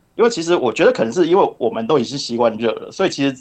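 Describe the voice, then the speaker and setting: This man's voice sits at a fairly high pitch and moves through very wide pitch swings. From Taiwan, Kaohsiung. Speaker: online marketer. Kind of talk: casual chat. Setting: remote call.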